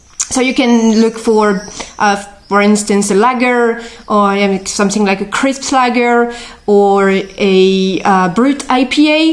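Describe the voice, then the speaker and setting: A woman with a French accent, fairly high-pitched, very slow, with very even loudness and ordinary pitch variation amid noticeable background noise. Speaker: beer and whisky expert. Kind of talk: interview. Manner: hesitant, many fillers.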